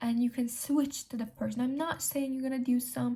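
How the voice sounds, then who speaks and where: A woman with a non-native accent speaks at a high pitch. Her tone is dark and mellow. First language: not English. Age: young. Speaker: self-improvement vlogger. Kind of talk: casual talk to camera.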